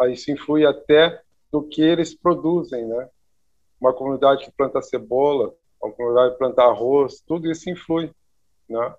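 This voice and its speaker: At a moderate pace and with ordinary pitch variation, a man with a fairly high voice talks, leaving long, frequent pauses. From Brazil, Rio Grande do Sul (Santa Maria). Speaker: architect. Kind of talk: interview. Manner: halting, many repetitions.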